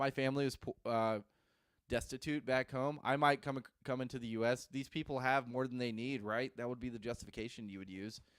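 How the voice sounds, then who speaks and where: A man's medium-pitched voice with fairly even intonation, dry and close with no echo, on a very clean recording with a silent background. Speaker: newspaper editor and show host. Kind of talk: casual solo commentary. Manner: halting, many false starts.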